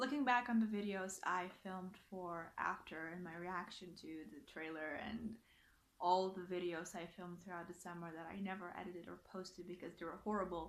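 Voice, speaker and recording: A woman's voice with big swings in loudness and audible room echo. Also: medium pitch for a woman, moderate pace. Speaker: youtuber. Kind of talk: reaction video rant. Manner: animated.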